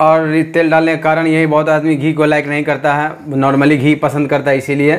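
Here a man speaks in a monotone with flat intonation, at a moderate pace. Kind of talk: cooking tutorial. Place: kitchen. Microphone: lapel.

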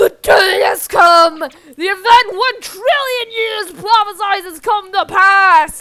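The speaker uses a put-on character voice with an extremely high pitch. The pace is fairly slow. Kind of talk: comic overacting villain. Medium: machinima. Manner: grandiose, menacing, triumphant.

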